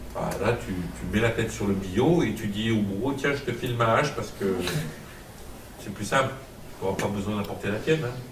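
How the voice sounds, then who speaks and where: A man with a Marseille accent and a fairly low pitch, animated in tone, at a moderate pace with ordinary pitch variation and long, frequent pauses, amid audible room echo and noticeable background noise. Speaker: pastor / Bible teacher. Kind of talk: teaching sermon to a class. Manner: animated, interactive.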